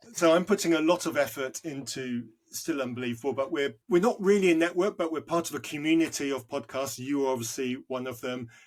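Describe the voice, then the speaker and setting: Recorded very cleanly against a silent background, a man speaks with a British accent at a fairly quick pace. His fairly high voice shows ordinary pitch variation, with hardly any pauses. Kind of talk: podcast interview.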